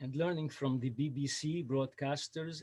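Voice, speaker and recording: Somewhat breathy, a man with a Lebanese accent speaks at a fairly slow pace, fairly high in pitch, with fairly even intonation. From Lebanon. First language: Arabic (Lebanese). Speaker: storyteller. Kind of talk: storytelling. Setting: video call. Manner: halting.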